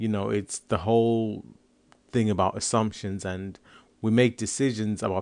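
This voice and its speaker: Against a quiet background, a man with a fairly low pitch talks at a fairly quick pace and keeps his intonation fairly even. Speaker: comedian and podcaster. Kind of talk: casual monologue podcast.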